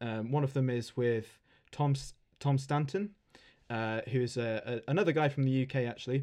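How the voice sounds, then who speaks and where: Speaking with an English accent, a man has a dark, mellow tone at medium pitch. His intonation is fairly even and his pace moderate. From England. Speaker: podcast host, RC aircraft hobbyist and author. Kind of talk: casual chat. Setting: internet call.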